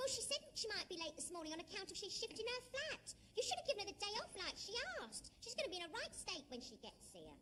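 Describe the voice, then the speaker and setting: A woman does a put-on character voice at an extremely high pitch, with very wide pitch swings and a very fast pace. Clear background noise runs behind her. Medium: comedy sketch. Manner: cheeky, brash.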